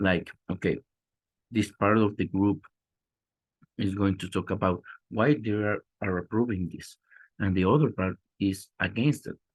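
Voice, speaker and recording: With a Spanish accent, a man talks at a moderate pace and a fairly low pitch, with ordinary pitch variation and long, frequent pauses, in a dry, close sound with no echo against a quiet background. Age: 30s. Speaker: teacher trainee presenting. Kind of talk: class presentation. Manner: halting, many repetitions.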